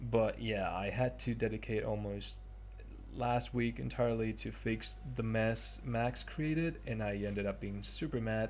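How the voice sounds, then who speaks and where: A man with a non-native accent speaks at a fairly slow pace. Music plays in the background. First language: not English. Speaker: 3D artist. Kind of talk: tutorial narration. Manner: hesitant, many fillers.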